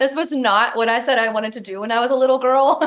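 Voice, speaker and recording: A woman with a Kentucky accent speaks at a very fast pace. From Kentucky, Louisville. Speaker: network marketing director, former nurse. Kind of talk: podcast interview.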